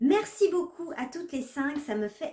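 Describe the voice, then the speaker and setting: High-pitched woman's voice in a dark, mellow tone, with ordinary pitch variation at a fairly slow pace. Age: 30s. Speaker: knitting vlogger. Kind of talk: casual vlog presentation.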